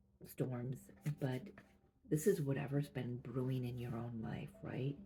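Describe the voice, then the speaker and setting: This speaker is soft-spoken. The pace is fairly slow. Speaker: tarot reader. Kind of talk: intuitive tarot reading. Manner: halting.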